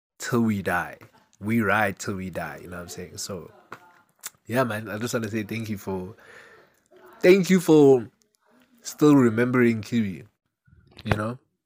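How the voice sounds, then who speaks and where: With a British accent and fairly low pitch, a man speaks with big swings in loudness and long, frequent pauses. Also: lively intonation, moderate pace. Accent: British urban. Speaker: podcast host. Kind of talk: casual solo monologue. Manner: casual, rambling.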